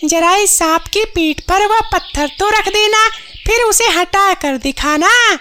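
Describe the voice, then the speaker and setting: A woman uses a cartoonish character voice at an extremely high pitch. She speaks at a fairly slow pace. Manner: sharp, confident.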